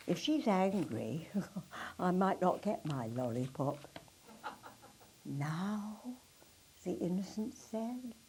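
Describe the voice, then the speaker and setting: A woman talks at a very slow pace, her pitch swinging very widely. Noticeable background noise runs underneath. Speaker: actress. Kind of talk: poetry reading.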